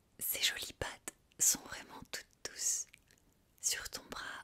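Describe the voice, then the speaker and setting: Whispering at a very slow pace, a woman speaks in a gentle tone. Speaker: ASMR content creator. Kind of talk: guided visualization, sophrology script. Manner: soft, gentle, slow.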